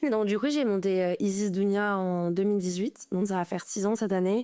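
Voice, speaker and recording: On a very clean recording with a silent background, a woman speaks at a moderate pace in a dark, mellow tone. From Paris. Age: 20s. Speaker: fashion designer. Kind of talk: interview. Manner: halting.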